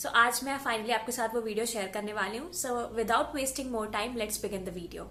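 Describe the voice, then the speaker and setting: Talking with hardly any pauses, a woman uses a fairly high pitch and ordinary pitch variation, with audible room echo and noticeable background noise. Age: 20s. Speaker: beauty vlogger. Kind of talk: product review. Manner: casual, Hindi-English code-switching.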